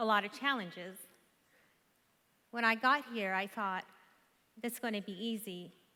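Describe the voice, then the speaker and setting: A woman's bright, sharp voice with an Iranian accent, at a moderate pace with ordinary pitch variation and long, frequent pauses. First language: Farsi. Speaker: conference speaker. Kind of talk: motivational speech.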